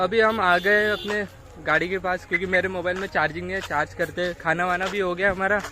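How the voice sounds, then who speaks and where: The speaker is a man with a high pitch and a raised, projected voice. His intonation stays monotone and flat. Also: moderate pace. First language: Marathi (speaking Hindi). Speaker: vlogger. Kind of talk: travel vlog. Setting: outdoors. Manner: casual.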